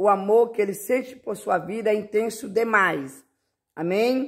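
On a very clean recording with a silent background, a man speaks at a high pitch. His pace is fairly slow and his pitch variation ordinary. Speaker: preacher. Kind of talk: sermon. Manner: fervent, rising preacher's cadence, declaring promises; warm, affectionate, reassuring.

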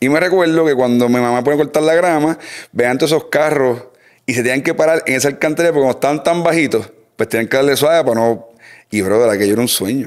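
Against a quiet background, the speaker goes very fast with ordinary pitch variation and very even loudness. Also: man, fairly high pitch for a man. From Puerto Rico. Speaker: mechanic and speed shop owner; podcast guest. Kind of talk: casual chat. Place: garage. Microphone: studio mic.

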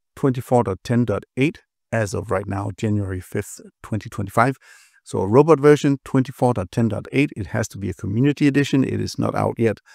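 A man talks at a moderate pace with ordinary pitch variation. The sound is dry with no echo, and the background is quiet. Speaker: automation software educator. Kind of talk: tutorial. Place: home room.

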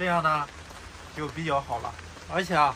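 This is a man talking. There is noticeable noise in the background. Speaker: travel vlogger living in a three-wheeler camper. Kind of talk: casual vlog monologue to viewers. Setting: outdoors and inside a small camper in the rain. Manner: animated, chatty.

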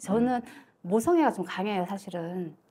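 The voice has a dark, mellow tone and is somewhat breathy. It moves at a moderate pace with lively intonation. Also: woman. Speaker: fortune-telling client. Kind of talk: consultation.

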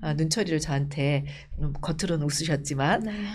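With vocal fry and a very deep, low pitch, a woman speaks at a moderate pace with ordinary pitch variation. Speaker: politician. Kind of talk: interview. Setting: studio. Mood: warm, animated storytelling. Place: studio. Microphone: lapel.

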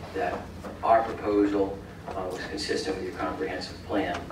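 A man speaks at a fairly low pitch. Audible room echo and noticeable background noise fill the recording. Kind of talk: formal presentation to council. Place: hall. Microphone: camera far.

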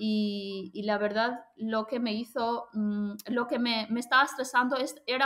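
A woman's fairly high, fairly slow voice with fairly even intonation, over a quiet background. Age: 30s. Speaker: language school owner and Spanish teacher; Spanish teacher. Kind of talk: testimonial interview. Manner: halting. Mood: reflective, positive. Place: home room. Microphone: webcam.

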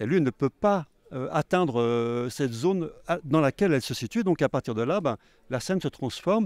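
Fairly quick, lively speech, dry with no echo, against a quiet background. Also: man. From Haute-Savoie, France. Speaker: film director and novelist. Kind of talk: interview. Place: hall. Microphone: handheld.

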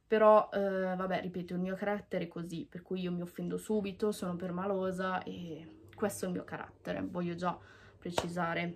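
A woman talks at a moderate pace. Her intonation stays flat and monotone. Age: 20s. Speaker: YouTuber. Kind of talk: vlog monologue. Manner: halting. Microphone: phone near.

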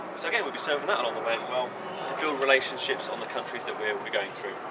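Loud background noise fills the clip. A man speaks over it with ordinary pitch variation. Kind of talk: casual show-and-tell. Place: street. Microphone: phone near.

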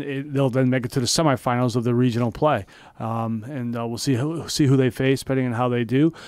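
Recorded dry with no echo over a quiet background, a man speaks with ordinary pitch variation. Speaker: radio show host. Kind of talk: sports commentary radio chat. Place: studio. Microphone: studio mic.

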